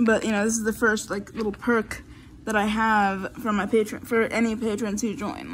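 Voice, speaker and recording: Slightly breathy and fairly high in pitch, a woman speaks at a moderate pace with fairly even intonation over light background noise. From Florida. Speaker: YouTuber; vlogger. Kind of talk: casual chat. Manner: halting. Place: home room. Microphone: phone near.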